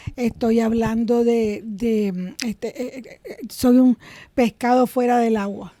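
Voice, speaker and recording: Heard in a dry, close sound with no echo, a woman speaks with fairly even intonation and a dark, mellow tone. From Nicaragua, Managua. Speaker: comedian. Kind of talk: interview conversation.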